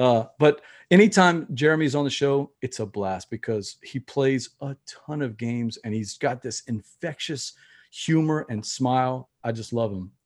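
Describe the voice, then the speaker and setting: A man with a Louisiana accent speaks at medium pitch and a fairly slow pace with lively intonation, in a very clean recording with a silent background. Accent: Southern US (Louisiana). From Louisiana, US South. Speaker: board game podcaster. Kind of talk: casual interview.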